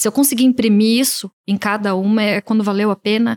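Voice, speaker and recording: A woman with an ordinary speaking voice talks at a moderate pace, with ordinary pitch variation and a dry, close sound with no echo. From Brazil, Piracicaba, interior of São Paulo state. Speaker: image and style consultant. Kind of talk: casual interview.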